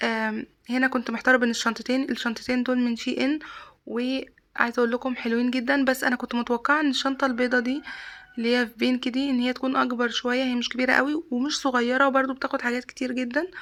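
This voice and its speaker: With an Egyptian accent, the speaker talks at a fairly quick pace in a monotone, flat intonation. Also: woman, high pitch for a woman. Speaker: vlogger. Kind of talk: casual vlog.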